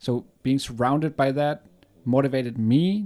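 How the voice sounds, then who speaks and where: Someone with a German accent speaks at a fairly slow pace on a very clean recording with a silent background. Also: man. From Germany. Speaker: podcast co-host. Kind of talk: casual chat.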